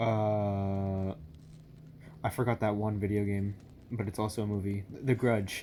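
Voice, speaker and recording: Whispering comes with long, frequent pauses. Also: man. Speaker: YouTuber reacting to videos. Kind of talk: casual reaction commentary. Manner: whispering, talking low.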